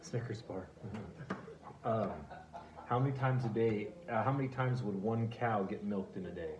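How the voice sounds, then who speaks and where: Speaking at a moderate pace and a medium pitch, a man uses ordinary pitch variation. He leaves long, frequent pauses, and noticeable background noise runs underneath. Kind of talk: interview questions.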